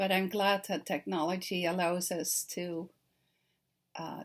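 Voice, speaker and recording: A woman with a Dutch accent and a medium pitch talks at a fairly slow pace with fairly even intonation on a very clean recording with a silent background. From Netherlands. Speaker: children's author. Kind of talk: recorded talk to teachers. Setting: self-recorded video. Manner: friendly, conversational with fillers.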